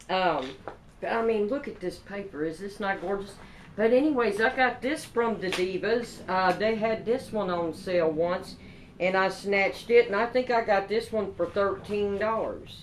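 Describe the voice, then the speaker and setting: A woman with a Kentucky accent, ordinary pitch variation, and noticeable background noise. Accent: Kentucky country. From Kentucky, Paducah. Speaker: craft vlogger. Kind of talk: product haul show-and-tell. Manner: animated.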